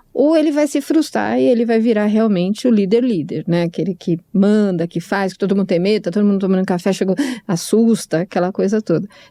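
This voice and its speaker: Lively intonation runs through a dark, mellow tone with hardly any pauses. The recording is very clean, with a silent background. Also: woman, medium pitch for a woman, very even loudness. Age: 60s. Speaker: podcast co-host. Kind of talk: casual chat. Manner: halting.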